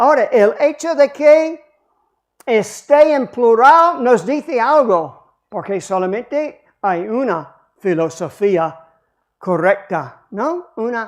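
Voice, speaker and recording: A woman with fairly high pitch and an English accent, very wide pitch swings, a very slow pace, and a quiet background. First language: English (speaking Spanish). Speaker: pastor. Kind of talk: sermon.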